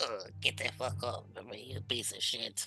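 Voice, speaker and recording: This is a put-on character voice, spoken quietly. Background noise is clearly audible. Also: moderate pace. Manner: angry, struggling.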